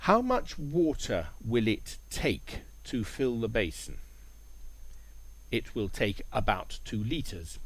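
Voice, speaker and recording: Speaking at a very slow pace with long, frequent pauses, a man is heard in a room with audible echo. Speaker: English teacher. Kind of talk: language lesson narration. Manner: clear.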